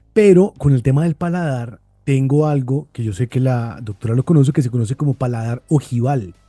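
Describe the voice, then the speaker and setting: A man's medium-pitched voice at a fairly quick pace with hardly any pauses and ordinary pitch variation, dry and close with no echo, music in the background. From Bogotá, Colombia. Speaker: podcast host. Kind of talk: interview conversation.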